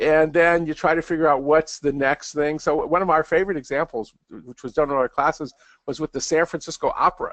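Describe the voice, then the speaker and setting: A man at a fairly high pitch and fairly quick pace, with fairly even intonation and a dry, close sound with no echo. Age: 60s. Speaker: professor and author. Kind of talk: interview. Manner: halting, many repeated words.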